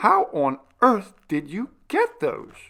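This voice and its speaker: A man puts on a shrill character voice, pitched high, with very wide swings in pitch. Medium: read story. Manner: shrill, rising to a wail.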